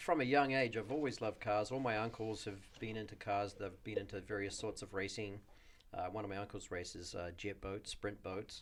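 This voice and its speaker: A fairly quick pace, in a New Zealand accent. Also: man, fairly low pitch for a man, ordinary pitch variation. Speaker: auto shop owner. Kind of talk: podcast interview.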